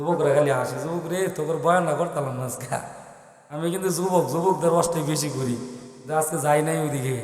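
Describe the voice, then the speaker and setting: A man with a fairly high voice speaks in a fairly even intonation over noticeable background noise. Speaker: Islamic preacher. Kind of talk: religious sermon to a live gathering. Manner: emotional.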